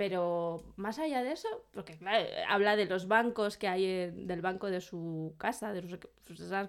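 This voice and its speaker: This is an ordinary speaking voice at a moderate pace with ordinary pitch variation. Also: woman. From Burgos, Spain. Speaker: podcast co-host. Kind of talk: casual chat.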